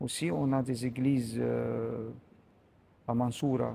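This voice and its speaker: Speaking with an Arabic accent, a man talks at a very slow pace. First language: Arabic (speaking French). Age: 60s. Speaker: priest. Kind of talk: interview. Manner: halting, many hesitations.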